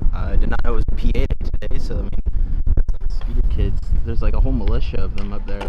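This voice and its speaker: Loud background noise surrounds a man talking at a very fast pace. His sound is dry, with no echo. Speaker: vlogger rider. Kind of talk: casual vlog chat. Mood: shaken but laughing. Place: street. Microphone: phone near.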